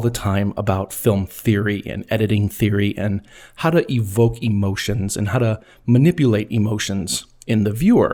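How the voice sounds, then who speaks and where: A man's medium-pitched voice, dark and mellow in tone, at a moderate pace on a very clean recording with a silent background. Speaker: podcast host and film editor. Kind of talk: scripted narration. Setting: recorded at a microphone. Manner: edited, stumbles removed.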